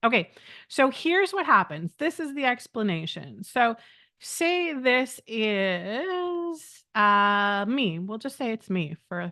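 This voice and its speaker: A woman's fairly high, bright and sharp voice with very wide pitch swings at a very slow pace, over a quiet background. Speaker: medium and spiritual teacher. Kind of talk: live stream teaching. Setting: live stream with chat.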